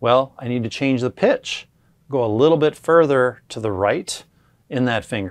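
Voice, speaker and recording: The setting behind the voice is quiet. A man talks at a moderate pace. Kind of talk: tutorial. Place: shop. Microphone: lapel.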